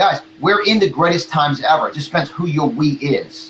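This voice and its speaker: A man speaks with an American accent at a moderate pace. His pitch varies in an ordinary way. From New York. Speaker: motivational speaker and marketing coach. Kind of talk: motivational talk in interview. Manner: animated.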